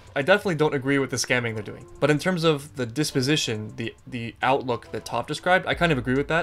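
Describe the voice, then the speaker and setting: Faint music plays behind a man talking at a very fast pace. His pitch variation is ordinary. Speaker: video commentator. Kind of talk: reaction commentary on a cartoon episode. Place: home room.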